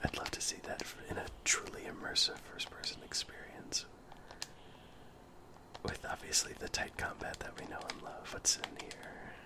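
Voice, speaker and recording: Whispering at a moderate pace, a man leaves long, frequent pauses and swings widely in loudness against noticeable background noise. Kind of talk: ASMR gameplay commentary. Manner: whispered, soft-spoken.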